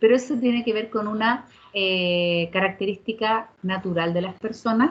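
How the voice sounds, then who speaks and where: A woman talks in a fairly high, somewhat breathy voice. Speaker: teacher. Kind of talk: lecture.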